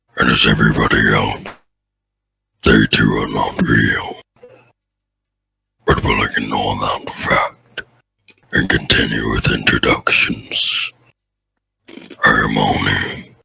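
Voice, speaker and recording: Putting on a character voice, a man speaks at a fairly slow pace, leaving long, frequent pauses. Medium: actual play. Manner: blunt, deadpan.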